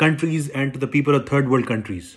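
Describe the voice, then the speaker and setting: A man with a Pakistani accent at a fairly high pitch with ordinary variation, on a very clean recording with a silent background. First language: Urdu. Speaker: political commentator. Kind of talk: political monologue. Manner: halting, many repetitions and fillers; indignant, emphatic.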